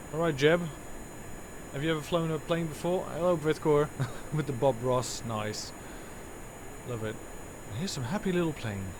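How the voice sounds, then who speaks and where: With a Dutch accent and a fairly high pitch, a man speaks at a moderate pace with lively intonation and long, frequent pauses over noticeable background noise. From Netherlands. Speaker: gaming streamer. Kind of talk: live gameplay commentary. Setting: live stream. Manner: halting, many fillers.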